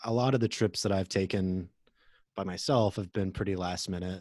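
A man with an American accent speaks at a moderate pace in a very deep, low voice with fairly even intonation. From Oklahoma. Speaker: author and traveler. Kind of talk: interview.

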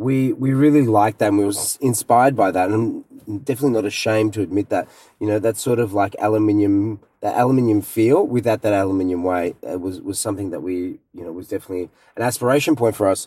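With an Australian accent, a man talks at a very fast pace in a dark, mellow tone at a fairly low pitch, with ordinary pitch variation. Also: very clean recording, silent background. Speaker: luggage company co-founder. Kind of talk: interview. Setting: in a car.

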